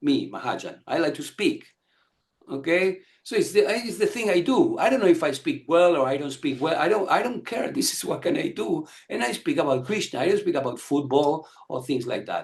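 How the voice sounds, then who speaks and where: A man talks at a fairly quick pace in a high pitch. His voice moves through very wide pitch swings. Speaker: spiritual teacher. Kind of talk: lecture. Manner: fast; halting.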